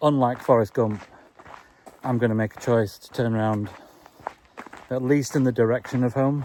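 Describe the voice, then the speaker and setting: Amid noticeable background noise, a man with an English accent speaks at a moderate pace in a medium pitch with fairly even intonation. He takes long, frequent pauses, and his loudness swings a lot. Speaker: vlogger. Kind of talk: walking vlog monologue. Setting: outdoors, walking. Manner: calm, not giddy like a presenter.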